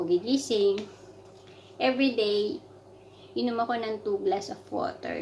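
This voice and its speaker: A woman talks at a fairly slow pace. Noticeable noise sits behind her voice. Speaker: vlogger, overseas worker in sales. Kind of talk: casual vlog chat. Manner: soft-spoken.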